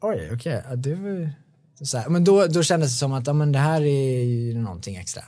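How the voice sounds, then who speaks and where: Somewhat breathy, a man talks at a fairly quick pace with a fairly high pitch and a dark, mellow tone. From Sweden, Bålsta near Stockholm. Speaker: songwriter. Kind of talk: casual interview chat.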